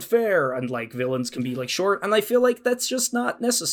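With an Irish accent, a man's voice swings very widely in pitch. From Ireland. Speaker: podcast co-host and actual-play performer. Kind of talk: casual chat.

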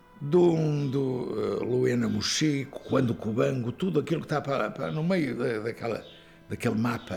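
A man's medium-pitched, lively voice at a moderate pace, with music in the background. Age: 70s. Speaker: singer-songwriter, teacher and coach. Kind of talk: elder life story, reflective interview recollection of the dictatorship years. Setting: interview.

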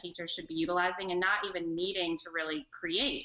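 An unremarkable speaking voice comes through with an American accent. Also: woman. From North Carolina, Charlotte. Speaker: educational technology specialist. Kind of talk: online interview and screen-share demo.

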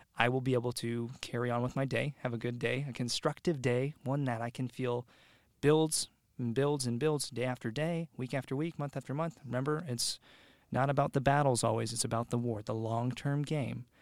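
Heard in a very clean recording with a silent background, a man with an American accent has an unremarkable speaking voice, a medium pitch, fairly even intonation and a moderate pace. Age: 20s. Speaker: podcast guest. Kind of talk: casual chat.

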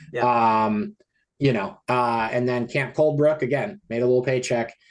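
With an American accent, a man talks in a normal speaking voice at medium pitch and a moderate pace, with ordinary pitch variation. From US small town. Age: 40s. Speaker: film editor and independent horror filmmaker. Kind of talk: interview.

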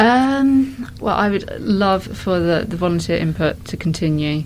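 A woman talks at a fairly slow pace. Noticeable background noise is present. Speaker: hospital staff member who set up walking group. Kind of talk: interview, explaining. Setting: hospital ward corridor.

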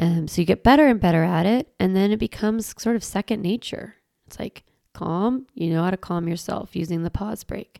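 With a dark, mellow tone and lively intonation, a woman talks at a fairly quick pace and medium pitch in a dry, close sound with no echo. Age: 40s. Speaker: parenting educator and podcast host. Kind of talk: solo podcast monologue. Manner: casual, conversational.

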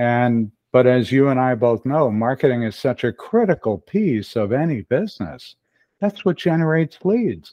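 A man talks at a moderate pace with medium pitch. His pitch swings very widely. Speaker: email marketing consultant. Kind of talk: casual interview.

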